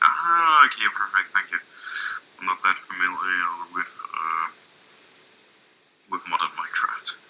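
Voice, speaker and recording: There is noticeable background noise as a man speaks at a fairly slow pace. He leaves long, frequent pauses. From Germany, Essen. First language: German. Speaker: gamer. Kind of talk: casual chat. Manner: halting.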